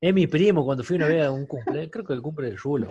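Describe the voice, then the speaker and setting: Somewhat breathy, the voice runs at a very fast pace with ordinary pitch variation. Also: man. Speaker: podcast co-host. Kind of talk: casual chat.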